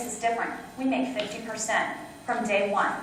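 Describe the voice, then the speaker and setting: Light background noise and audible room echo surround a woman speaking in an animated tone. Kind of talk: training talk with role-play. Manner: fast. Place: meeting room. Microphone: camera far.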